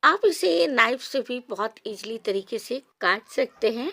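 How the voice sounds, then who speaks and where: On a very clean recording with a silent background, a woman speaks in a normal speaking voice at a fairly high pitch. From Odisha, India. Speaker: cooking channel host. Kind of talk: cooking tutorial. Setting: home kitchen on a veranda.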